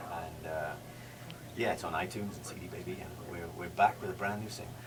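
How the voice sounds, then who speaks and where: A man with a Geordie accent speaks very fast in a very deep, low voice, with ordinary pitch variation and big swings in loudness. Music plays in the background, and the room echo is audible. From northeast England, Newcastle. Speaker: country singer. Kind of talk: radio interview. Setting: radio studio.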